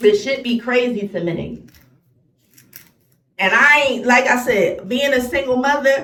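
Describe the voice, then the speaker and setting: Speaking in an American accent, a woman uses lively intonation at a fairly high pitch. Audible room echo surrounds her voice. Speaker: vlogger. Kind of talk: angry rant vlog. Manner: animated.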